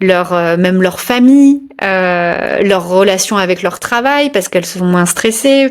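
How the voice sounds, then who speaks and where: The speaker is a woman. She speaks at a very slow pace. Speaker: yoga business coach and interviewer. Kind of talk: podcast interview host.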